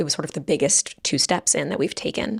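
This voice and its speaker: A woman speaks at a fairly quick pace with vocal fry and very wide pitch swings. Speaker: advice podcast host. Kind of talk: casual podcast monologue.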